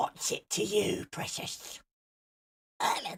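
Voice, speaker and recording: A put-on character voice with a raspy edge. It moves at a fairly slow pace. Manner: wheedling, sneering.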